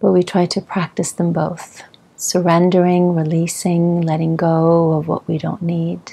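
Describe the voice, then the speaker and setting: A woman speaks fairly slowly in a fairly low pitch. Her intonation stays monotone and flat. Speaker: yoga instructor. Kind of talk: guided yoga instruction. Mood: calm, soothing. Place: home room.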